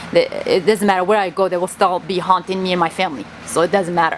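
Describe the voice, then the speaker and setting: Over noticeable background noise, a woman speaks at a medium pitch with a Kurdish accent. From Kurdistan. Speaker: vlogger. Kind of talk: personal monologue vlog. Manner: halting.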